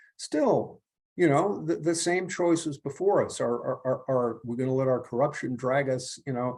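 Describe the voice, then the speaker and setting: With ordinary pitch variation and a moderate pace, a man talks at a medium pitch in a dark, mellow tone that is somewhat breathy. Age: 70s. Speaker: author and perennialist writer. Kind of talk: conversational interview. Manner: halting, many repetitions and stammers.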